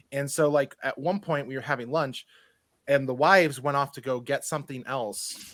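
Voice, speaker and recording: A man's fairly high voice at a moderate pace, with fairly even intonation. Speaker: board game content creator. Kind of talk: casual chat. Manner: loud and boisterous.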